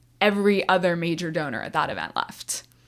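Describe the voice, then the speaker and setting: Recorded very cleanly over a silent background, a woman with an unremarkable speaking voice talks at a medium pitch with fairly even intonation. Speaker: non-profit auctioneer. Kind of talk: interview answer. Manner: lighthearted, conversational.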